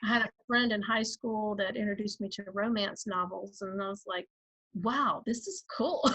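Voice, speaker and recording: With a Georgia accent, a woman speaks at a fairly high pitch and moderate pace, using fairly even intonation. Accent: Southern (Georgia). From Georgia, US South. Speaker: author and writing coach. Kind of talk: interview.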